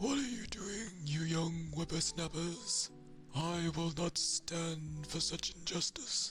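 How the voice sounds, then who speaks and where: Clear music plays in the background of this put-on character voice. It speaks at a middle pitch and a fairly slow pace. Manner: scolding, indignant.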